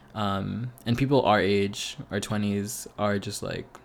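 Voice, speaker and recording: This man talks at a fairly slow pace. His pitch sits fairly low. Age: 20s. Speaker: podcast host. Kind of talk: casual monologue. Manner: hesitant, many fillers.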